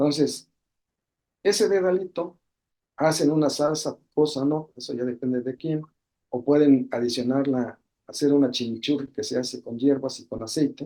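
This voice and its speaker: The man has a fairly high pitch and a dark, mellow tone with ordinary pitch variation. He talks at a moderate pace with big swings in loudness. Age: 60s. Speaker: medical webinar speaker. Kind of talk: webinar talk. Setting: online webinar. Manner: halting.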